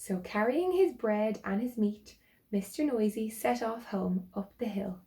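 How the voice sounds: What you hear is a natural reading voice.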